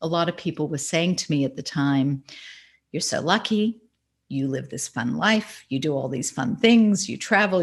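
With an American accent, a woman talks at a moderate pace in a very deep, low voice with lively intonation. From Australia. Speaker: author and marketing consultant. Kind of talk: interview. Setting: remote call.

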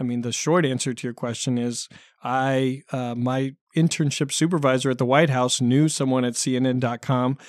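In a West Coast US accent, a man speaks at a moderate pace and medium pitch with flat, monotone intonation, on a very clean recording with a silent background. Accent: General American (West Coast). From US Pacific Northwest (Oregon). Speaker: election analyst. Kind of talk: interview. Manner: halting.

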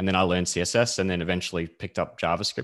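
Very deep, low-pitched male speech in an Australian accent at a very fast pace, against a quiet background. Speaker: software developer. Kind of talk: casual chat.

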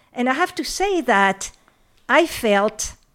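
Speaking with a French accent, a woman swings her pitch very widely over a very clean recording with a silent background. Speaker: professor emerita of literature and gender studies. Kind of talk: academic interview. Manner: halting, hesitant with many fillers.

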